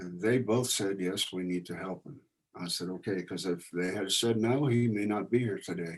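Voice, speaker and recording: A man with an American accent speaks at a moderate pace and a fairly low pitch. He has a plain, everyday voice with ordinary pitch variation. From Indiana. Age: 60s. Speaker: veteran. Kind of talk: casual talk.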